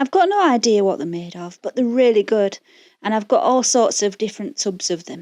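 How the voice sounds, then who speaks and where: Speaking at a fairly quick pace, a woman has a fairly high pitch, a dark, mellow tone, lively intonation and big swings in loudness. The sound is dry and close, with no echo. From Yorkshire, northern England. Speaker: craft tutorial creator. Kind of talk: tutorial voice-over. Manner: chatty, informal.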